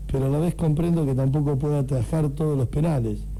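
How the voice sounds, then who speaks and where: Music plays behind a man who speaks fairly quickly in a fairly high voice, with audible room echo. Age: 60s. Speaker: radio host. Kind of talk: radio interview.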